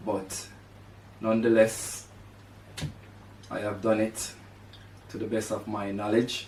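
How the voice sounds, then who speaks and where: A man speaks at a fairly low pitch with monotone, flat intonation. His pace is fairly slow, with long, frequent pauses. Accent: Jamaican. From Jamaica (rural, St Catherine). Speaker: podcast host. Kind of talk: personal monologue. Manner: halting, with fillers.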